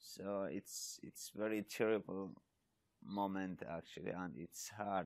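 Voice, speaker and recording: A man's fairly low voice with a Kurdish accent, very slow and fairly even in intonation, against a quiet background. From Iraq (Yazidi, Sinjar); Iraq. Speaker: charity volunteer. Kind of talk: interview testimony. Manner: halting, with frequent repetitions. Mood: earnest, warm. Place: open country.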